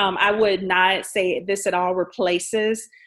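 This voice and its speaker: A woman with an American accent speaks in an ordinary speaking voice with fairly even intonation against a quiet background. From Jacksonville, Florida. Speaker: nonprofit president. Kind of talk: interview. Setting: video call.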